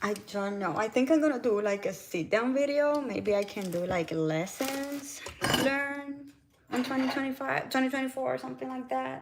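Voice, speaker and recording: A woman with a Puerto Rican accent speaks at a moderate pace in a high pitch. Noticeable background noise runs behind her. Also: lively intonation. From Puerto Rico. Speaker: lifestyle vlogger and wellness coach. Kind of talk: casual live-stream chat while cooking.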